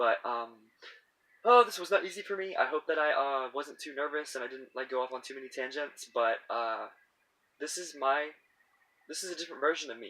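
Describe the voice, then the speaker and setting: Speaking at a fairly quick pace, a man with a fairly high pitch uses lively intonation and a bright, sharp tone, his loudness swinging widely. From US South. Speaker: YouTuber. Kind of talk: casual vlog monologue. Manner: halting, many false starts and fillers; rambling. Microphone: cheap audio equipment.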